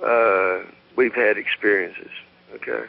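A man talks with a Southern US accent. His pace is fairly slow. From US South. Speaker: caller. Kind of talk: call-in chat. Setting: phone call. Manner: halting, many fillers.

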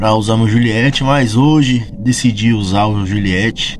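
Light background noise runs beneath a man whose pitch varies in an ordinary way. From Brazil, São Paulo. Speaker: football fan youtuber. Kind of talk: casual vlog commentary. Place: home room. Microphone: phone near.

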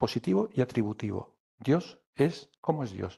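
Against a quiet background, a man speaks at a fairly slow pace. His voice is dark, mellow and somewhat breathy, with very wide pitch swings. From Alicante, Spain; Spain. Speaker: poet. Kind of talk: poetry reading and talk. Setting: live event with audience. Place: classroom. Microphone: podium.

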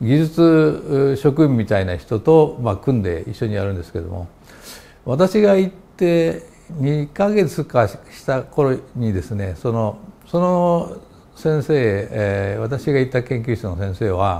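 Very slow in pace, the voice has a dark, mellow tone and very wide pitch swings. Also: man, medium pitch for a man. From Japan. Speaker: chemistry professor. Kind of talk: interview. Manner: halting, many fillers. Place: office. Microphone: lapel.

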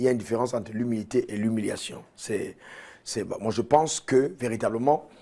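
A man with a dark, mellow tone and medium pitch talks at a fairly quick pace with fairly even intonation. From Cameroon. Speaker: pastor. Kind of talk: TV interview. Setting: studio. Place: studio. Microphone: lapel.

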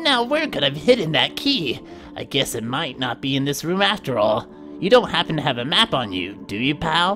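With clear music playing behind him, a man does a put-on character voice, fairly high in pitch, at a moderate pace. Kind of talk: game dialogue read aloud by a streamer. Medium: game stream. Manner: puzzled, folksy, muttering to himself.

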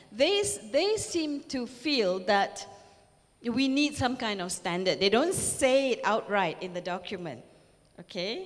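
Speaking slowly-ish with a Malaysian accent, a woman uses a fairly high pitch that swings very widely. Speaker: professor and keynote speaker; professor, keynote speaker. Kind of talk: lecture. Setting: stage with audience. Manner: animated. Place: hall. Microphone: handheld.

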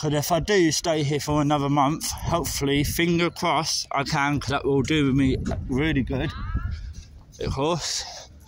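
A man's fairly high voice at a moderate pace, with fairly even intonation, very even loudness, a dry sound with no echo and light background noise. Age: 20s. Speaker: travel vlogger. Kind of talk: walking vlog. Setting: outdoors. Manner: casual, hesitant with fillers. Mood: unwell, apologetic. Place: street. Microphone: phone near.

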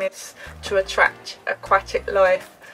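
Background music is playing. Over it, a woman talks. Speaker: sailing vlogger. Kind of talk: casual vlog chat. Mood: enthusiastic, friendly. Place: boat. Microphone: phone near.

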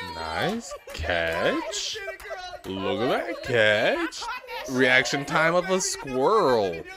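A man speaks at a very slow pace, the sound dry with no echo despite crowd noise in the background. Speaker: reaction streamer. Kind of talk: commentary. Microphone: studio mic.

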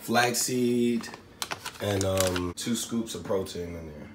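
A man speaks with a fairly low pitch. Audible room echo and light background noise are present. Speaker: vlogger. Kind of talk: casual vlog chat. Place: kitchen. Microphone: phone near.

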